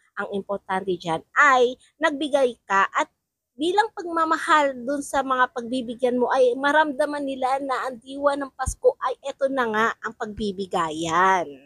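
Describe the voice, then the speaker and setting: A woman talks fairly slowly in a high voice, her intonation lively. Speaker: vlogger. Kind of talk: casual vlog talk. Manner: repetitive, chatty.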